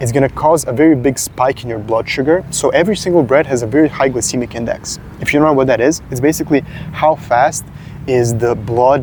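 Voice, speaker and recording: A man's fairly quick speech with ordinary pitch variation over noticeable background noise. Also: medium pitch for a man. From Serbia. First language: Serbian. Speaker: fitness content creator. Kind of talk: casual talking-head advice video. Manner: hesitant, frequent filler 'uh'.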